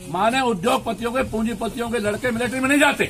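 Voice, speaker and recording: A man talks at a moderate pace with a high pitch. Noticeable background noise can be heard. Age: 70s. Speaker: politician. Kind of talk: campaign speech. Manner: forceful.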